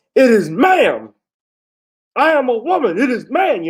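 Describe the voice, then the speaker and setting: In a put-on character voice with high pitch, the speaker delivers lines in an angry tone at a moderate pace. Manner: angry tantrum.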